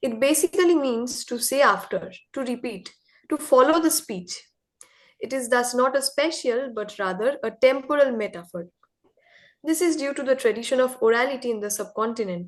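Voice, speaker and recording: A woman with a Bengali accent talks at a moderate pace in a high voice. Her intonation is lively. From India. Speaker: contributor to a literary magazine. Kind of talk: reading aloud of an essay.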